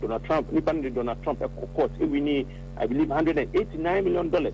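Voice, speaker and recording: Noticeable background noise sits behind a man with a fairly high voice and a non-native accent. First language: not Twi. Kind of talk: radio talk show interview. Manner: halting.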